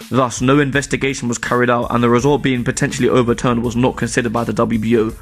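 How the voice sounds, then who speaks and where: With music in the background, a man with an English accent talks very fast at medium pitch in a monotone, flat intonation. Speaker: boxing YouTuber. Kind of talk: video commentary.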